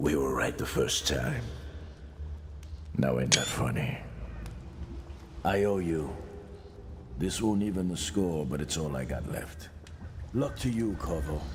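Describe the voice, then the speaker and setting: A put-on character voice at a fairly slow pace, with long, frequent pauses over clear background noise. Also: man, very deep, low pitch for a man. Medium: video game. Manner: drawling, streetwise.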